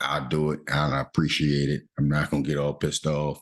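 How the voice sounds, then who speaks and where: In a quiet voice, a man speaks at a very deep, low pitch. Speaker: stock trading youtuber. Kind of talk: trade review tutorial. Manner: fast; speaking louder than usual.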